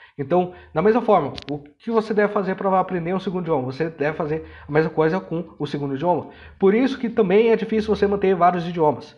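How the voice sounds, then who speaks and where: Delivery is very fast, and the pitch varies by ordinary amounts. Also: man, high pitch for a man. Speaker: language learning educator. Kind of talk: educational monologue. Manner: halting with many fillers.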